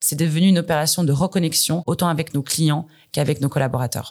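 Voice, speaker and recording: Fairly low in pitch, a woman with a plain, everyday voice speaks, and her pitch varies an ordinary amount. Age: 30s. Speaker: corporate communications director. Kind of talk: interview.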